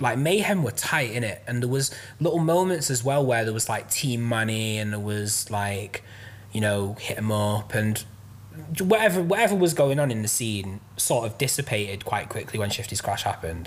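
A man with a Mancunian accent speaks at a moderate pace in a medium-pitched, somewhat breathy voice with lively intonation. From south Manchester, England. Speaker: rapper and music producer. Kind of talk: casual chat.

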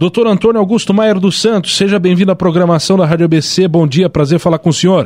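Fairly quick and very even in loudness, a man's high-pitched voice carries fairly even intonation. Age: 20s. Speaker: radio host. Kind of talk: radio interview.

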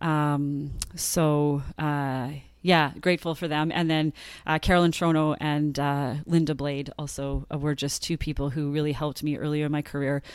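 On a very clean recording with a silent background, a woman speaks with a Canadian prairie accent at a moderate pace. Her very deep, low voice holds a flat monotone. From rural Saskatchewan and Manitoba, Canada. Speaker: former track athlete and coach, wellness consultant. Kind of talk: interview storytelling.

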